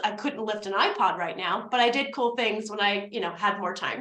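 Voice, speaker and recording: A woman with an American accent talks in an animated tone at a fairly quick pace. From New Jersey, US (North Jersey). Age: 30s. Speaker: business coach and networking presenter. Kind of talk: presentation / webinar. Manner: fast.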